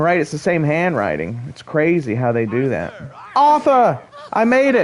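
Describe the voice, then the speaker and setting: A man's high-pitched voice with very wide pitch swings at a fairly slow pace, noticeable background noise behind it. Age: 30s. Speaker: video game streamer. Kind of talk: live gameplay stream chat. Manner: casual, halting with repetitions.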